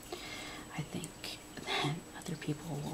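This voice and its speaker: Someone whispers, soft-spoken. Noticeable background noise runs underneath. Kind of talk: ASMR whispered rambling. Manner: whispered, soft-spoken.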